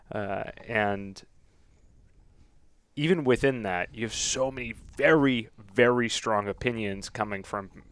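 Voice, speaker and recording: Over a silent background in a very clean recording, a man speaks at a medium pitch and fairly slow pace, with ordinary pitch variation and long, frequent pauses. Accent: Boston. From Boston. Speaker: firearms YouTube reviewer, competition shooter. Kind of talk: casual podcast interview.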